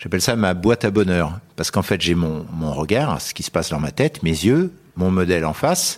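A man's very deep, low voice with lively intonation at a moderate pace. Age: 80s+. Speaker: portrait photographer. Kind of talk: interview conversation. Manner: halting.

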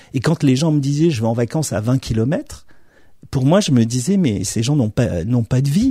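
Dark and mellow in tone, a man's medium-pitched voice comes across somewhat breathy with lively intonation. He keeps a moderate pace and very even loudness. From Morocco, Algeria and Madagascar (French military family). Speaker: film director. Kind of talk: interview. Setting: distributor's office. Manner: halting, many repetitions.

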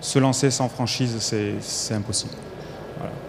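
Noticeable background noise sits behind a man who talks fairly slowly, his pitch varying in an ordinary way. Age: 40s. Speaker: franchisee, home care agency director. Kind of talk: panel interview. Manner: hesitant, repeats words.

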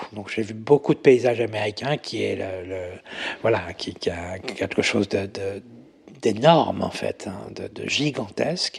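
A man speaks at a fairly slow pace with vocal fry. His pitch is fairly low, with ordinary variation. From Paris region, France. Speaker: makeup artist. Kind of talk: interview conversation. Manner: hesitant, many fillers.

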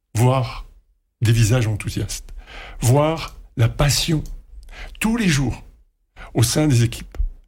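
A man speaks at a medium pitch with vocal fry and ordinary pitch variation. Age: 60s. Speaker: retired radio executive. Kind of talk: interview. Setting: studio.

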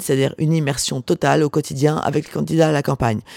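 At a fairly quick pace, a woman talks with lively intonation. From Var, southern France (Porquerolles island). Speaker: author. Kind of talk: interview. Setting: hotel bar. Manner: halting.

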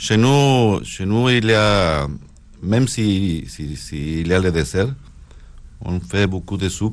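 In a northern Mexican accent, a man speaks at a very slow pace and fairly low pitch. His intonation is lively, with long, frequent pauses. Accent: Mexican, northern Mexico. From northern Mexico (Sonora). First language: Spanish (speaking French). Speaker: chef. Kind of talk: casual chat.

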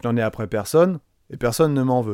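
The recording is very clean, with a silent background and a dry, close sound with no echo. A man speaks in a dark, mellow tone with lively intonation. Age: 40s. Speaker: teacher trainer and podcast host. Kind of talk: personal monologue podcast.

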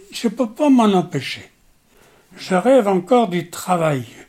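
His intonation rises and falls in a lively way. The man's delivery is very slow. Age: 80s+. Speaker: war veteran. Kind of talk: testimony. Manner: halting.

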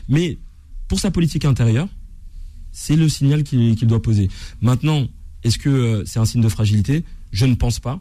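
Speaking at a fairly quick pace but with long, frequent pauses, a man uses lively intonation in a medium-pitched, somewhat breathy voice with a dark, mellow tone. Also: very even loudness. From France, Seine-Saint-Denis. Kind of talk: heated debate.

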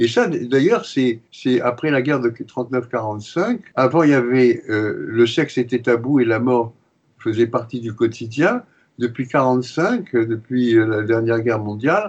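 Speaking very slowly, a man keeps a medium pitch that varies in an ordinary way. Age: 80s+. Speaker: retired pediatrician and psychoanalyst. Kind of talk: interview. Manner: hesitant, with frequent repetitions.

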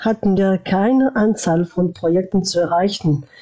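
The speech moves at a very slow pace. Pitch varies in an ordinary way. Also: woman. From France, born in former Yugoslavia. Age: 40s. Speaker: former youth ambassador. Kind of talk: interview. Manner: halting.

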